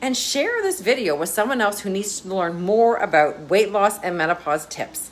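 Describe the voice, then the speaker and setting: Lively, medium-pitched female voice at a moderate pace amid noticeable background noise. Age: 50s. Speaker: wellness coach. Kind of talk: social media tips video.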